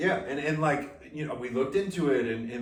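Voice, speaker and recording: Noticeable background noise and audible room echo surround the recording. A man speaks at a fairly quick pace, his fairly high pitch showing ordinary variation. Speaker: podcast co-host. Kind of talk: casual chat. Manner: loud.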